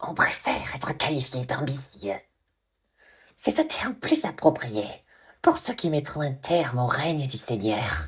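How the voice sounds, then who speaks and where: A put-on character voice sits at a low-to-middle pitch with long, frequent pauses. The recording is very clean, with a silent background. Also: moderate pace. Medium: read story. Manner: mocking, unhinged.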